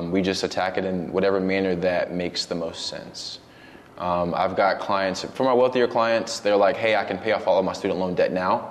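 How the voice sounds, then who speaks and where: A man with a very deep, low voice talks at a moderate pace with fairly even intonation. Noticeable background noise sits behind him. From Brooklyn, New York; moved to Georgia at 12. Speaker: financial planner. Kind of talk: casual interview.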